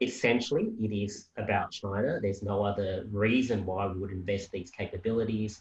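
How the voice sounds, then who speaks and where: An Australian-accented man at a fairly quick pace with hardly any pauses, fairly low in pitch, somewhat breathy, with fairly even intonation. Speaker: policy analyst. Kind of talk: panel discussion.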